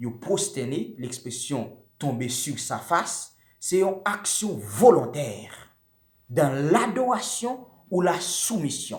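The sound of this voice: Speaking slowly, a man uses a fairly high pitch with big pitch swings.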